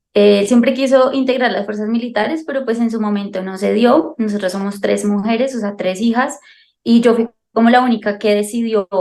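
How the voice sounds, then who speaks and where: A woman speaks at a moderate pace with a fairly high pitch. Her tone is dark and mellow, and her intonation is fairly even. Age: 20s. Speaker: soldier and mother. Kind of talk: interview. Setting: video call.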